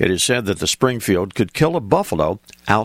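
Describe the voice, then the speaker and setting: Vocal fry runs through a man's voice, heard with a dry, close sound and no echo. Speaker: radio host. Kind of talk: scripted radio narration on western firearms history. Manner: measured, formal; steady, informative, matter-of-fact.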